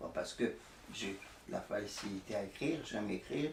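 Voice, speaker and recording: Over noticeable background noise and audible room echo, a man speaks at a fairly low pitch with ordinary pitch variation. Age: 80s+. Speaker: artist. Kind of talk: interview. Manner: halting, with many repetitions.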